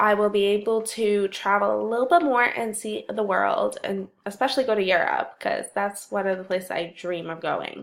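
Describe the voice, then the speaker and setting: A woman speaks at a moderate pace. She leaves hardly any pauses. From Canada. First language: Russian. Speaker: university student. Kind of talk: personal introduction, read or prepared monologue.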